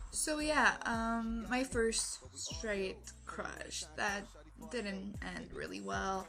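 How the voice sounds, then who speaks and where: In a Quebec accent, a woman speaks at a very slow pace. Audible room echo fills the recording. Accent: weird French Canadian accent in English. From Quebec, Canada. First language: French. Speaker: vlogger. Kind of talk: personal story vlog. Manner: animated, moving a lot; halting, many fillers.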